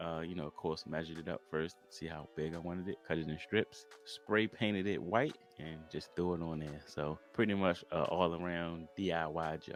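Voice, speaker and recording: Music plays in the background as a man talks with an American accent at a very deep, low pitch, with hardly any pauses. His tone is relaxed and his intonation fairly even. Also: moderate pace. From US, Baltimore, Maryland. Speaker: DIY home improvement YouTuber. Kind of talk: casual Q&A tutorial vlog. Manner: casual, relaxed.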